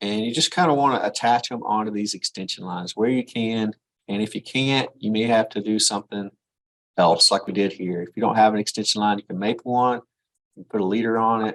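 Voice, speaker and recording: A man talks at a fairly quick pace in a normal speaking voice. His pitch is fairly low, and his intonation is fairly even. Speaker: engineering drafting instructor. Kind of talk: live class tutorial. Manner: casual, conversational.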